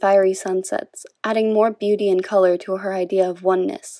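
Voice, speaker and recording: A woman speaks quietly at a moderate pace, with a medium pitch and ordinary pitch variation. The sound is dry and close, with no echo. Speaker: video essay narrator. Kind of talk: scripted video essay narration.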